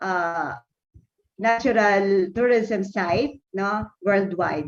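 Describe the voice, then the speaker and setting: A woman speaks at a very slow pace, her medium pitch showing ordinary variation. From Philippines. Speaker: university academic. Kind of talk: conference presentation. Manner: halting.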